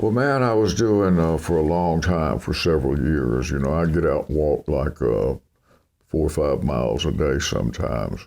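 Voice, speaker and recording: A man with a very deep, low voice and vocal fry speaks in a relaxed tone with lively intonation and very even loudness. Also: moderate pace. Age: 80s+. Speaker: country singer. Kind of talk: interview answer. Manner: relaxed, conversational.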